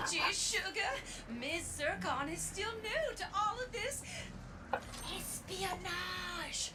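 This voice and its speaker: A put-on character voice, female-sounding, delivered at a very slow pace over loud background noise. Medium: game stream. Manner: bubbly, friendly.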